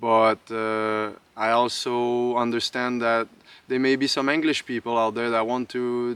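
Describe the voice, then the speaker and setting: A man speaks at medium pitch and a moderate pace in a bright, sharp tone. The sound is dry and close, with no echo. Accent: Quebec. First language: French. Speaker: outdoor lifestyle vlogger. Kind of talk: casual tutorial. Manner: hesitant, many fillers.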